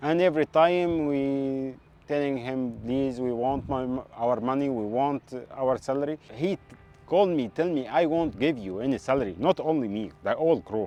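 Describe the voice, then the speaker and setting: Over noticeable background noise, a man speaks at a medium pitch. His pace is moderate and his pitch variation ordinary. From Egypt, Port Said. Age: 20s. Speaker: ship engineer, stranded seafarer. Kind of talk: interview testimony. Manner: halting.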